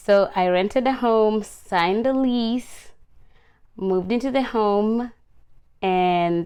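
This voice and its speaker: A woman with ordinary pitch variation, over a quiet background. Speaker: vlogger. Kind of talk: casual chat.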